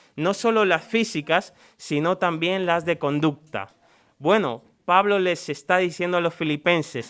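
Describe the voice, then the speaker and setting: A man speaks at a high pitch with ordinary pitch variation and a fairly slow pace. The recording is very clean with a silent background. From Dominican Republic. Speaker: preacher. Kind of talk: sermon.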